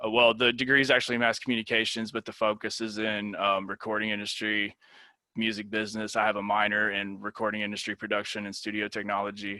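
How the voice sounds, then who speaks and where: A man with a Tennessee accent at a fairly low pitch, with a bright, sharp tone, monotone, flat intonation and a very fast pace. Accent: Southern US (Tennessee). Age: 30s. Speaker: university lecturer. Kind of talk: lecture. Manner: casual, many fillers.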